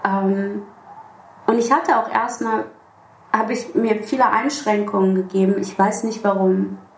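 A woman speaks with ordinary pitch variation and long, frequent pauses. The room echo is audible, and background noise is noticeable. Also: medium pitch for a woman. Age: 30s. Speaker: musician. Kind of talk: casual interview.

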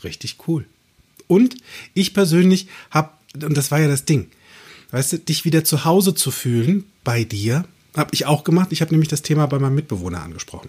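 A man with a fairly high pitch speaks fairly quickly in an animated, somewhat breathy way with lively intonation. His speech is broken by long, frequent pauses. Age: 40s. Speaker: podcast host and coach. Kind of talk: casual chat.

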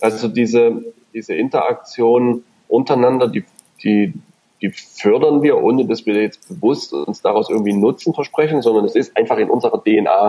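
A man's dark, mellow voice at medium pitch, with lively intonation and a moderate pace. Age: 30s. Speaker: company managing director. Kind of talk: podcast interview. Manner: hesitant, many fillers and repetitions.

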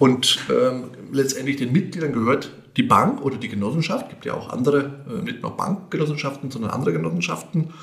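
Over noticeable background noise and audible room echo, a man speaks at a moderate pace. His voice is fairly high for a man, with lively intonation. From Lower Franconia, Bavaria (Grabfeld area). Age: 50s. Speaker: bank executive. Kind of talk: podcast interview.

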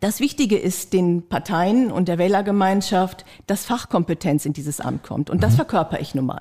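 A woman's voice, dark and mellow in tone, moves along at a moderate pace. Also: medium pitch for a woman, lively intonation. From Lower Saxony, Diepholz district. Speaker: mayoral candidate, tax advisor. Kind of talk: candidate interview.

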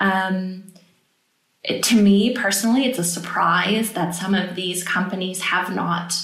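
A woman talks at a fairly slow pace with fairly even intonation. The room echo is audible. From United States. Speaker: political advisor. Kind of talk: podcast interview.

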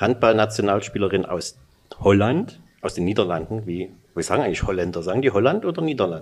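At a fairly quick pace, a man talks with lively intonation and a fairly low pitch. He has a normal speaking voice. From Saxony, Freiberg. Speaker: sports journalist, podcast host. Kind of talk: interview.

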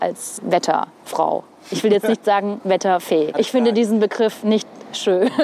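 A woman's fairly high voice moves at a fairly slow pace amid noticeable background noise. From northern Hesse, Germany. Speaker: TV weather presenter. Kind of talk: casual chat. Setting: outdoors on a rooftop.

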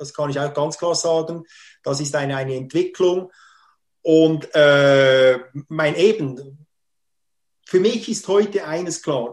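A man with a fairly high pitch talks at a very slow pace with ordinary pitch variation. Long, frequent pauses break up his speech over a quiet background. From Switzerland, Schwarzbubenland (Solothurn). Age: 50s. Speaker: theme park representative and marketing consultant. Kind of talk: interview conversation. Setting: video call from home.

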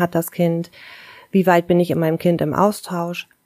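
A woman with a rather low voice talks at a moderate speed. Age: 40s. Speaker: kindergarten teacher. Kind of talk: interview.

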